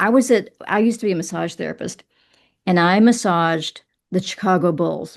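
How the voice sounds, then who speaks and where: A woman with a Southern US accent at a fairly slow pace, over a quiet background. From Kentucky. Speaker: writer and poet. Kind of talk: interview.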